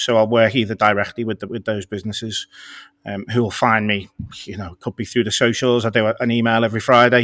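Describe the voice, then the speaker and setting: Speaking in a Scouse accent at a very fast pace, a man with a medium pitch keeps a monotone, flat intonation in a very clean recording with a silent background. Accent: Scouse (Liverpool) English. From Liverpool, England. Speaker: copywriter. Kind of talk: interview conversation.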